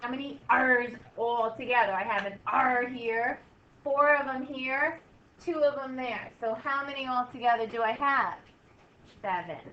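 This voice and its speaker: Amid audible room echo, a woman speaks at a fairly slow pace in a high voice with a bright, sharp tone. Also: ordinary pitch variation. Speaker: math teacher. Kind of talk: classroom lesson. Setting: classroom.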